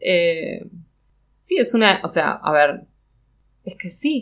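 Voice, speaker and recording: Speaking with a Rioplatense accent, a woman uses vocal fry and very wide pitch swings. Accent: Argentine Spanish (rioplatense). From Argentina, Patagonia (Neuquén). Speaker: textile designer. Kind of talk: casual interview. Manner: hesitant, many fillers.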